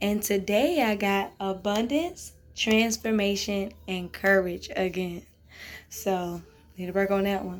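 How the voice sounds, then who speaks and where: A woman's voice at a medium pitch, at a very slow pace. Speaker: podcast host. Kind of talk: casual vlog monologue. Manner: loud; animated.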